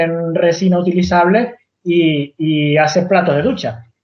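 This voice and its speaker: A man with a high voice. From Venezuela, Canarian mother, raised partly in Andalusia. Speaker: tiny house builder. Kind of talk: podcast interview. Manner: halting, many repetitions and false starts.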